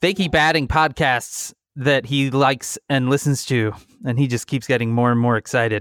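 Recorded very clean with a silent background and dry, close sound with no echo, a man speaks at medium pitch and a moderate pace in a fairly bright tone with fairly even intonation.

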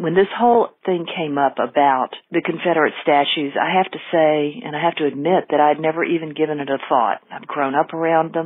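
A woman with a Southern US accent speaks in a very deep, low pitch with ordinary pitch variation. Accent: Southern American. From US South. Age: 60s. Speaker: caller. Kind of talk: voicemail. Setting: phone call.

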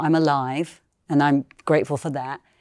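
A woman speaks with a British accent at a moderate pace. The recording is very clean, with a silent background. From UK. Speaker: singer and sound healer. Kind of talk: interview. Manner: halting.

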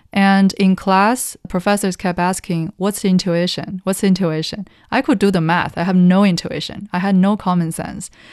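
A woman with a Chinese accent talks at a moderate pace and medium pitch, with hardly any pauses. Her intonation is fairly even, and the background is quiet. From China, Taiyuan (Shanxi). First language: Mandarin Chinese. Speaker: economist analyst. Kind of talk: interview conversation. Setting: studio.

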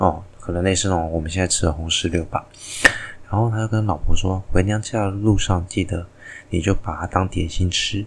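Soft-spoken and with a very deep, low pitch, a man talks at a moderate pace with fairly even intonation amid noticeable background noise. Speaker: astronomy and mythology podcast host. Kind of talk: solo storytelling and explainer.

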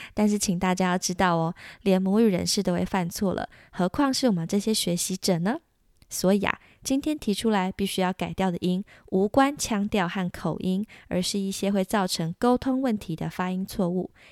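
In a Taiwanese accent, a woman with a warm tone and medium pitch speaks at a moderate pace with ordinary pitch variation, the sound dry and close with no echo on a very clean recording with a silent background. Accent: Taiwanese Mandarin. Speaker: podcast host, French tutor. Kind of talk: language lesson. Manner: warm, encouraging.

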